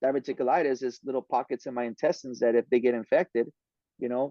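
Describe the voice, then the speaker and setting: A man's dark, mellow tone comes through a dry, close sound with no echo. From Southern California (Oxnard), Mexican-American. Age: 40s. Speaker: podcast guest, podcaster. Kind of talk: casual interview chat. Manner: casual, halting with many repetitions.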